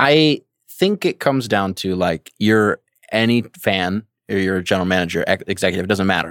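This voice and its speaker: An unremarkable speaking voice from a man with an American accent, fairly low in pitch, at a fairly quick pace, with ordinary pitch variation, very even loudness and a dry, close sound with no echo. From Michigan. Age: 20s. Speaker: basketball writer. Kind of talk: casual chat. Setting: live audio room.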